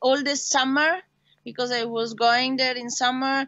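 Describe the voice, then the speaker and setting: With an Italian accent, a woman speaks in a high pitch. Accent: Italian, noticeable. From Italy. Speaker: racing driver. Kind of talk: interview. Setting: video call. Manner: halting.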